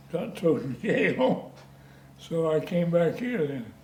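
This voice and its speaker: A man with a rural western American accent speaks very slowly in a fairly high voice, and the room echo is audible. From US West, rural Colorado (San Luis Valley). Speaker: retired heavy equipment operator, local old-timer. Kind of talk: oral history interview. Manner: halting.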